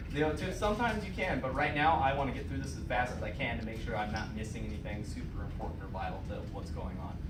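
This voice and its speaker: Against noticeable background noise and audible room echo, a man with a fairly low pitch talks at a very fast pace with hardly any pauses and very wide pitch swings. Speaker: EMT demonstrating patient assessment. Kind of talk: classroom skills demonstration.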